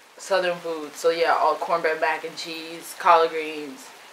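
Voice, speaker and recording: With an American accent, the speaker goes at a fairly slow pace over noticeable background noise. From New York. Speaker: mukbang vlogger. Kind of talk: casual eating vlog talk. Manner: casual, filler-heavy.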